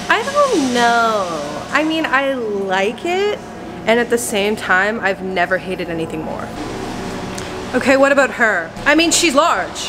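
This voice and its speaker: A woman talks at a fairly slow pace while clear music sounds in the background. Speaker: comedic vlogger. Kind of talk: casual vlog chat. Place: garage. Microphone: phone near.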